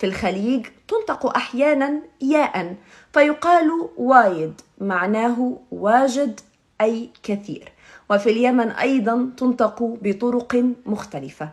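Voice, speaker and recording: A woman speaks at a very slow pace with a high pitch. Her intonation is lively. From Egypt. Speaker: TV presenter. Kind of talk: formal Standard Arabic rebuttal.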